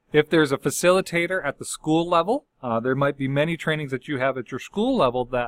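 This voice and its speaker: A man with a plain, everyday voice speaks at a fairly high pitch. He keeps a fairly quick pace with ordinary pitch variation over a quiet background. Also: dry sound with no echo. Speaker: instructional support specialist; school district staff trainer. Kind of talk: tutorial. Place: office. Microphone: webcam.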